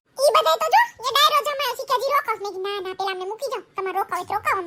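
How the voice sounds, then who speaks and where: Speaking in a cartoonish character voice, a woman hits an extremely high pitch. She talks very fast. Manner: loud, brisk, chatty.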